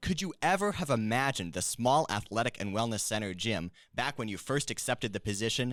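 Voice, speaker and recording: Hardly pausing, a man speaks at a fairly quick pace with lively intonation. His pitch is medium, and he has a plain, everyday voice. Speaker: student podcast host. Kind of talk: podcast interview. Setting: studio.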